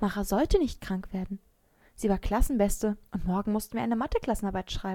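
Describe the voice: What we hear is plain reading aloud.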